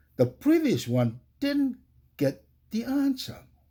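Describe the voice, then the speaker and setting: Very slowly, a man with a Tongan accent speaks in a dark, mellow tone with very wide pitch swings, in a very clean recording with a silent background. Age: 60s. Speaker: religious podcast host. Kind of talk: religious podcast talk.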